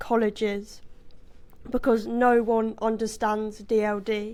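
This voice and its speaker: A woman's fairly high voice in a British accent, at a very slow pace. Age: young. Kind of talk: prepared personal statement read to a board.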